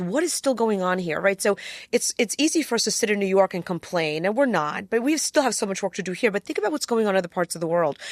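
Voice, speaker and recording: With a Polish accent, the voice comes through a very clean recording with a silent background and a dry, close sound with no echo. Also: woman. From Poland, raised in US from age seven. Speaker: attorney. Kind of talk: interview conversation.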